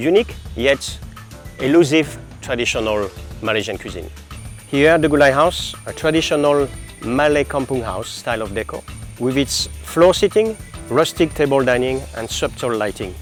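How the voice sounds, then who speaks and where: Over music in the background, the speaker uses lively intonation at a moderate pace with long, frequent pauses. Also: man, medium pitch for a man. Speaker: hotel general manager. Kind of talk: corporate presentation to camera.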